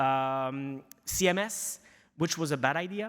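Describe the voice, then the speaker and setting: A man speaks with a strong Quebec accent. His tone is bright and sharp, with ordinary pitch variation. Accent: thick French Canadian. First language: French. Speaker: news media executive. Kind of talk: conference presentation. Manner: halting, many fillers.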